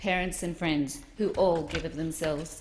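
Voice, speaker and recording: A woman talks at a fairly quick pace with an Australian accent. Room echo is audible. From Australia (Melbourne area). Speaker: politician. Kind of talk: parliamentary maiden speech. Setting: parliament chamber. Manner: formal.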